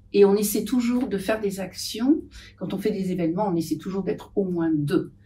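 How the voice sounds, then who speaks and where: A woman speaks at a medium pitch and a moderate pace, with ordinary pitch variation. Her tone is dark and mellow, and somewhat breathy. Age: 70s. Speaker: patient association volunteer. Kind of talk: podcast interview. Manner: hesitant, many fillers.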